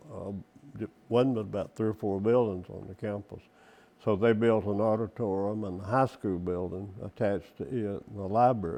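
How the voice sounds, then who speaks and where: With a Southern US accent, a man speaks in a dark, mellow tone with fairly even intonation. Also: fairly low pitch for a man, moderate pace. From Mississippi. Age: 80s+. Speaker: oral history interviewee. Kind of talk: interview answer.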